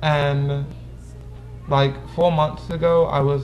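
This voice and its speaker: With noticeable background noise and audible room echo, a man speaks at a fairly high pitch. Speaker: vlogger. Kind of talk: casual vlog, answering viewer questions.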